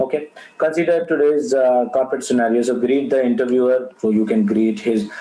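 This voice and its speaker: Noticeable background noise sits under the speech. The pace is fairly quick, with ordinary pitch variation. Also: man. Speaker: interview skills trainer. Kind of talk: online training webinar. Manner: fast; halting, many fillers.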